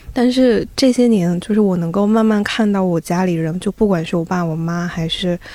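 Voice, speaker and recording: A woman's medium-pitched voice with a dark, mellow tone, ordinary pitch variation and a moderate pace. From eastern China (Zibo, Shandong). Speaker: audio editor. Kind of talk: casual chat.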